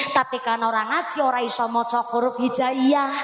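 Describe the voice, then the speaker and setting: Here a woman speaks with a high pitch. Audible room echo surrounds her voice, and music plays in the background. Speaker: female Islamic preacher. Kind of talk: sermon. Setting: stage with audience, PA system. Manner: animated. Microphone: echo on the sound system.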